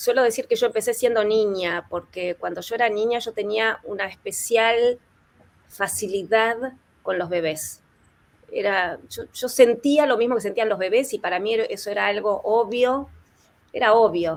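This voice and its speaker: This woman has a plain, everyday voice pitched fairly high. She talks at a moderate pace with ordinary pitch variation. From Argentina. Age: 60s. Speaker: therapist and author. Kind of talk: panel interview.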